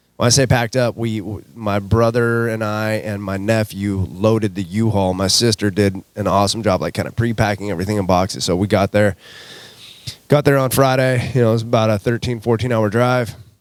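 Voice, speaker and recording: A man talks rather briskly with fairly level intonation while clear background noise is heard. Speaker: fitness coach and podcast host. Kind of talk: casual chat. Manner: casual, many filler words.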